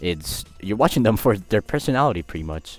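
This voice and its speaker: Delivered at a fairly quick pace with ordinary pitch variation, the speech plays over music in the background. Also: man. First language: Spanish. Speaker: YouTuber. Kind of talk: casual vlog monologue. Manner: casual, hesitant with repetitions.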